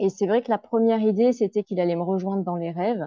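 A woman has an unremarkable speaking voice at a medium pitch, with ordinary pitch variation. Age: 40s. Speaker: grief counselor. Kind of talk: interview.

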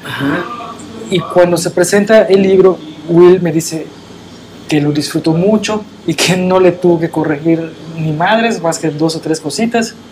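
Over noticeable background noise, a man speaks in a high voice at a fairly slow pace. He uses fairly even intonation and long, frequent pauses. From Yucatán, Mexico (Mérida area). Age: 40s. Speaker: radio producer. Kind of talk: casual chat. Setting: studio.

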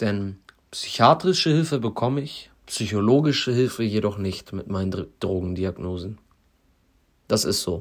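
Recorded very cleanly against a silent background, a man speaks at a moderate pace in a fairly low voice with lively intonation. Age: 20s. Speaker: podcaster in addiction recovery. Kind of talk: personal monologue.

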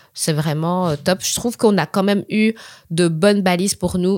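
A woman talks at a fairly quick pace with a fairly low pitch and fairly even intonation in a dry, close sound with no echo. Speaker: podcast host. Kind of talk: casual chat.

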